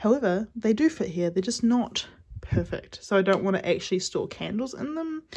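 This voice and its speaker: Somewhat breathy and lively in intonation, a woman with a New Zealand accent speaks at a fairly high pitch. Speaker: small business owner, candle and soap maker. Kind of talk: studio tour vlog. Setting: home garage studio. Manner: fast.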